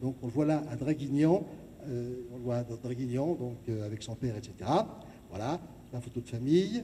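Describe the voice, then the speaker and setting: A man speaks in a somewhat breathy, dark and mellow voice at a medium pitch with ordinary pitch variation. His pace is moderate, with long, frequent pauses. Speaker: lecturer and local historian. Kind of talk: lecture. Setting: gymnasium with audience.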